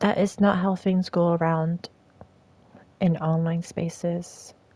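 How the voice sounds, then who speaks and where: At a very slow pace, a woman with a fairly low pitch speaks in a dark, mellow, somewhat breathy tone, with very even loudness and monotone, flat intonation. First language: not English. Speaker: streamer. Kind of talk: live stream monologue.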